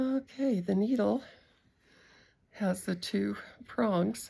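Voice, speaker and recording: Somewhat breathy, a woman with an American accent speaks at a very slow pace. The recording is very clean with a silent background. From Utah, USA. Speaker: handcraft demonstrator. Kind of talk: casual demonstration talk.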